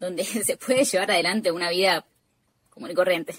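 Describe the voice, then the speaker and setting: This is a woman speaking at medium pitch. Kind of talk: interview. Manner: halting, many repetitions and fillers.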